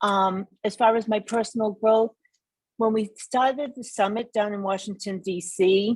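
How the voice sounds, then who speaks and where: A woman's ordinary speaking voice with an American accent, medium in pitch with ordinary pitch variation, at a fairly slow pace. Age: 60s. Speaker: school committee candidate. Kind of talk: candidate forum answer.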